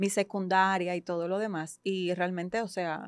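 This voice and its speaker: A woman's medium-pitched voice, monotone and flat in intonation, over a quiet background. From Ecuador, Guayaquil (moved to Dominican Republic at 12). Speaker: psychologist and coach. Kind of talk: podcast interview.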